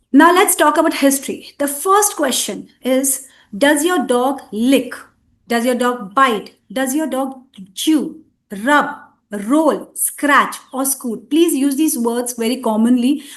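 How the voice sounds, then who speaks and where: A woman's high-pitched voice at a very slow pace, with audible room echo. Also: ordinary pitch variation. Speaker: veterinarian. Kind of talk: lecture. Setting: webinar.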